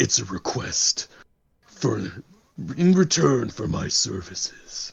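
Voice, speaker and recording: Using a put-on character voice, a raspy man at a medium pitch talks at a fairly slow pace with very wide pitch swings. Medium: actual play. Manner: proud, grandiose.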